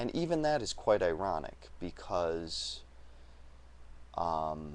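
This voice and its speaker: Speaking at a very slow pace, a man's voice carries audible room echo. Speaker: video blogger. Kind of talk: vlog monologue. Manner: hesitant, with fillers.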